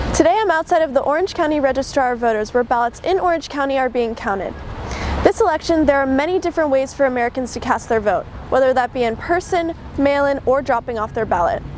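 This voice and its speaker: A woman's high-pitched voice at a very fast pace with lively intonation, over noticeable background noise. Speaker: student TV news reporter. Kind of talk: political news package reporting.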